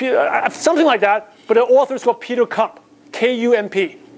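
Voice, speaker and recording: A man with a Chinese accent talks at a fairly quick pace in an extremely high pitch. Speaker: business coach. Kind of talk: motivational seminar talk.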